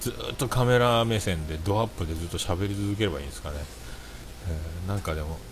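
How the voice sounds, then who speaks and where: With audible room echo around it, the voice moves at a fairly quick pace with lively intonation. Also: man, very deep, low pitch for a man. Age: 40s. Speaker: livestreamer and podcaster. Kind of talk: solo livestream chat. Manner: casual, filler-heavy.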